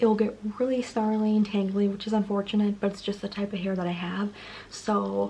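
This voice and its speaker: Speaking at a fairly quick pace, a woman uses a somewhat breathy, dark, mellow voice at medium pitch with monotone, flat intonation. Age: 20s. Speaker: beauty vlogger. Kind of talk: tutorial. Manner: fast; casual, filler-heavy.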